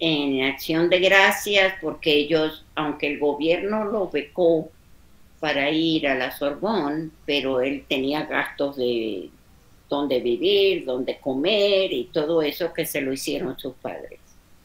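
A woman speaks very slowly in a very deep, low voice. Her pitch varies in an ordinary way. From Venezuela. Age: 80s+. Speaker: interviewee, relative recounting history. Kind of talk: interview answer. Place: home room.

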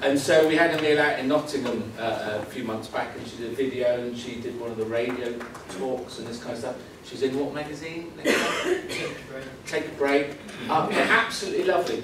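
With noticeable background noise and audible room echo, a man speaks at a fairly quick pace and ordinary pitch variation. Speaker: conference presenter. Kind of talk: talk to a conference audience. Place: hall. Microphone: camera far.

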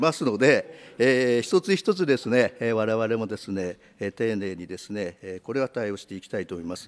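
A man talks at a moderate pace. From Japan. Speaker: politician. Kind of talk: parliamentary questioning. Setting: committee room. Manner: hesitant, many filler words. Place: meeting room. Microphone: podium.

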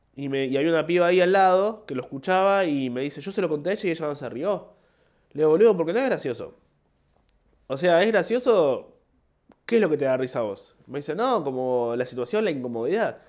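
Pitch swings very widely as this man talks in a Rioplatense accent. His voice sits fairly high. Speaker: comedian. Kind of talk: casual monologue. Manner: halting.

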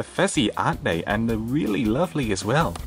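Faint music plays in the background as a man speaks at a very fast pace. His pitch is fairly low. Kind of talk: playful puppet skit with unboxing commentary. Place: home room. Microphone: phone near.

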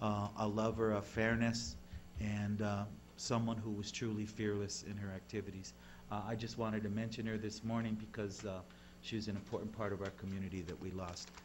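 A man talks at a fairly quick pace with a fairly low pitch and ordinary pitch variation. Noticeable background noise sits behind him. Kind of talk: formal remarks at public meeting. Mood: somber, memorial tribute. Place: meeting room. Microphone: podium.

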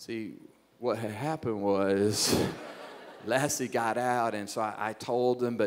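Fairly slow pace and fairly even intonation, with light background noise. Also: man. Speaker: pastor. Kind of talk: sermon. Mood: humorous, self-deprecating. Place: stage. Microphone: handheld.

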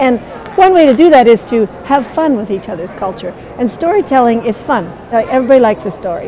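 Over crowd noise in the background, a woman with a high pitch talks very fast with very wide pitch swings. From Southeast Alaska, Tlingit. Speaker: storyteller and weaver. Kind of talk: interview about storytelling mixed with a dramatic story performance. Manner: animated, dramatic storytelling delivery with character voices; conversational and warm in interview. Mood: warm, thoughtful.

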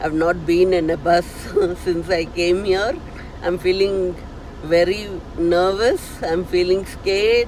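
At a very slow pace, a woman speaks in a monotone, flat intonation, with light background noise and a dry sound with no echo. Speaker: vlogger. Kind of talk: casual vlog chat. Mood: nervous but cheerful. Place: car. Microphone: phone near.

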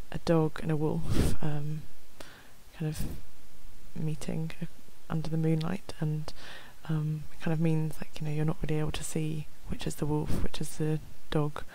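A soft-spoken woman whispers at a fairly slow pace with long, frequent pauses, in a dry sound with no echo. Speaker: ASMR creator. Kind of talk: ASMR soft-spoken ramble. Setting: close microphone. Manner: soft-spoken, whispered. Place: home room. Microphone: headset.

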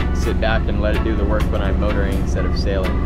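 A woman is heard with a dry sound and no echo while loud music plays in the background. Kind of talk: casual vlog chat. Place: boat. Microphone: phone near.

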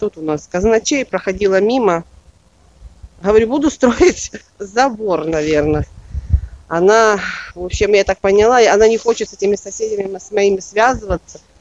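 Taking long, frequent pauses, a woman speaks at a moderate pace with ordinary pitch variation and big swings in loudness, in a dry sound with no echo. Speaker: gardener vlogger. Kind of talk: casual vlog chat. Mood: annoyed about neighbours. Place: garden. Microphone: phone near.

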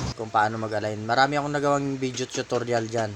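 Audible room echo and noticeable background noise around fairly quick speech with ordinary pitch variation. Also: man. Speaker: motorcycle wheel mechanic and YouTuber. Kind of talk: tutorial. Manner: halting, many fillers.

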